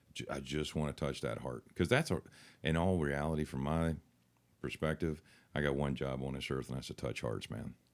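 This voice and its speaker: A man with a very deep, low pitch and a West Virginia accent talks at a moderate pace with ordinary pitch variation. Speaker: country singer. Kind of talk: interview answer. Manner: casual, friendly.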